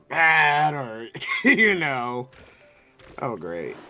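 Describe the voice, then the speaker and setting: Music plays in the background as a man speaks. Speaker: vtuber streamer. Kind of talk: casual chat.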